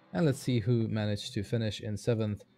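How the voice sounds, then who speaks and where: With a dark, mellow tone, a man speaks at medium pitch using fairly even intonation. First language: Hungarian. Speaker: sim racing commentator. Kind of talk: live commentary. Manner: halting.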